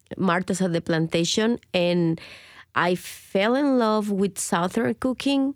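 Speaking at a very slow pace, a woman lets her intonation stay lively. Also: dry, close sound with no echo, very clean recording, silent background. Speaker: chef and restaurant owner. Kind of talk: interview and kitchen tour. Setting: in a restaurant kitchen.

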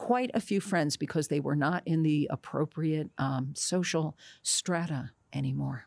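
On a very clean recording with a silent background, a woman with an American accent speaks fairly slowly at a very deep, low pitch, with lively intonation and very even loudness. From New Jersey. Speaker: actress. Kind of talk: interview.

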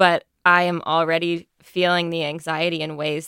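A woman with an American accent speaks in a monotone, flat intonation at a fairly low pitch, on a very clean recording with a silent background and a dry, close sound with no echo. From Texas. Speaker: investigative reporter. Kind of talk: radio news panel discussion.

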